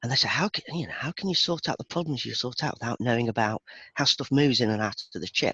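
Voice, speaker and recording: Lively intonation and a bright, sharp tone mark this voice at a very fast pace. The speaker has a Birmingham accent. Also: man, fairly high pitch for a man, dry, close sound with no echo. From England, Birmingham. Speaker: IT database performance expert. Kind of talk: casual chat.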